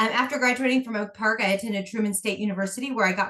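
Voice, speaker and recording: The speaker is a woman. Her speech carries a Midwestern American accent. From Kansas City area, Missouri. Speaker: school board candidate. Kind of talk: candidate forum statement.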